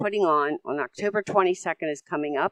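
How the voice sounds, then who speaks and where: At a fairly quick pace, a woman talks in a dry, close recording with no echo. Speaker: local volunteer. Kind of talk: community announcement. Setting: business breakfast meeting.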